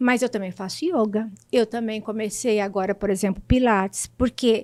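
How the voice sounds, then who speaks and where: In a dry, close sound with no echo, a woman speaks at a fairly high pitch. Her pitch variation is ordinary and her pace fairly slow. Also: very clean recording, silent background. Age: 60s. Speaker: patient sharing her story. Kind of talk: testimony. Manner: halting, with repetitions.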